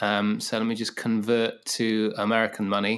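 The speaker talks at a fairly slow pace in a southern English accent. The recording is very clean, with a silent background. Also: man. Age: 40s. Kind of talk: casual interview. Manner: halting, many fillers.

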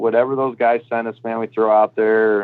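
The speaker has an ordinary speaking voice in an American accent. The intonation is fairly even. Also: man. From Michigan. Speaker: college baseball coach. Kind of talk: interview.

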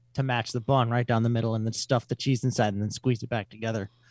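A man with an Upper Midwest accent talks at a medium pitch with fairly even intonation in a dry, close sound with no echo. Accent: Upper Midwest American. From Wisconsin, Fond du Lac. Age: 20s. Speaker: metal musician. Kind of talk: casual chat. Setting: remote call.

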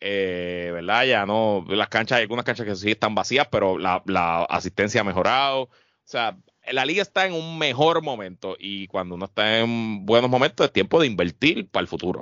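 A plain, everyday voice at a moderate pace with lively intonation. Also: man, fairly low pitch for a man. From Puerto Rico, Guaynabo. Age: 30s. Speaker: podcast co-host. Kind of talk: casual chat.

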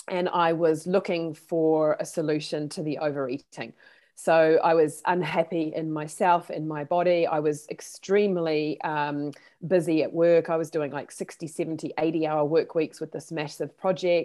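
Her voice fairly low, a woman speaks at a moderate pace with monotone, flat intonation. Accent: New Zealand. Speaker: therapist. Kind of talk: interview. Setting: video call.

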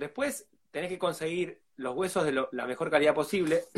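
A man's high-pitched voice with an Argentine accent, fairly quick pace and lively intonation. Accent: Argentine Spanish (rioplatense voseo). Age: 40s. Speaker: food producer and fermentation educator. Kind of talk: live interview.

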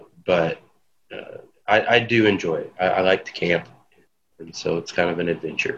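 Speaking at a moderate pace, a man leaves long, frequent pauses, and his loudness swings widely. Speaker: podcast co-host. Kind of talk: casual chat.

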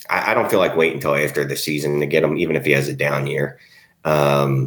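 With an American accent, a man speaks at a very fast pace against noticeable background noise. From Philadelphia. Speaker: fantasy football podcast co-host. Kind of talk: casual chat.

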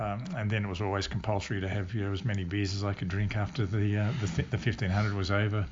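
Speaking with an Australian accent, a man goes at a very fast pace. His intonation is fairly even, and his voice is somewhat breathy. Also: fairly low pitch for a man. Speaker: retired Olympic decathlete. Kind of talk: interview. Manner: halting.

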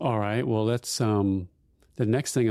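In a very clean recording with a silent background, a man with a plain, everyday voice talks at a moderate pace, his medium pitch showing ordinary variation. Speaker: podcast host. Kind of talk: casual interview chat.

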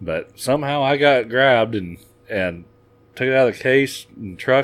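A man with an American accent talks at a medium pitch and moderate pace, with ordinary pitch variation. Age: 30s. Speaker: farmer. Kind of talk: casual chat. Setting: studio.

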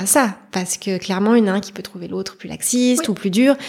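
A plain, everyday voice at a fairly quick pace. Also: woman. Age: 30s. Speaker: mother sharing her story. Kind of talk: personal testimony interview.

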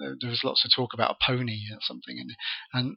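A man talks at a fairly quick pace. Vocal fry runs through his voice.

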